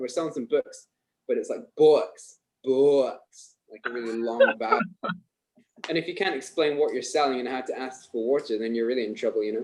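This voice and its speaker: Speaking at a moderate pace, a man with a Scottish accent shows big swings in loudness. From Scotland.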